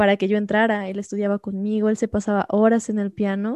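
A woman with a fairly high pitch and a dark, mellow tone speaks at a moderate pace, her sound dry and close with no echo against a quiet background. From Mexico, Xalapa (Veracruz). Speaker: concert pianist and music professor. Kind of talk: interview.

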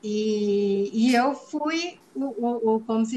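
This woman's voice sits at a fairly high pitch. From Minas Gerais, Brazil. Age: 40s. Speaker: biologist. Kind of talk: testimony.

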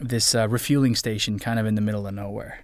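A man with a plain, everyday voice, medium pitch and fairly even intonation, on a very clean recording with a silent background. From US, moved around (military family). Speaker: voice actor. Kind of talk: casual interview chat.

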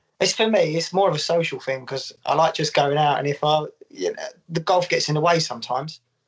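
Talking at a very fast pace, a man with a fairly high pitch shows ordinary pitch variation. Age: 30s. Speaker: golf social media creator. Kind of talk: casual chat.

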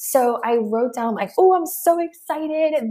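A woman talks in a normal speaking voice at a moderate pace with lively intonation. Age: 20s. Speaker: online business coach. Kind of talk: interview.

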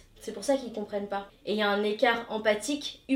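A woman speaks in an unremarkable speaking voice with ordinary pitch variation. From Paris suburbs, France (Hauts-de-Seine), Tamil Indian heritage. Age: 30s. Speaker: yoga consultant. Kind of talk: interview.

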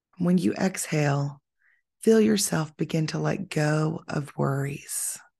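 A woman talks at a very slow pace with a very deep, low pitch. Her tone is dark, mellow, gentle and soothing, and somewhat breathy. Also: quiet background. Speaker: podcast host and yoga teacher. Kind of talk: guided meditation. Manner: slow, soothing, calm; gentle, measured, with pauses.

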